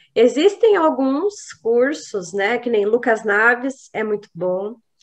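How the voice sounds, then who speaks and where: The woman's pitch sits fairly high and her intonation is lively. She talks at a very slow pace. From Brazil, São José dos Campos, São Paulo state. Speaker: psychologist and hypnotherapist. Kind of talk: interview. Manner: halting, with fillers and repetitions.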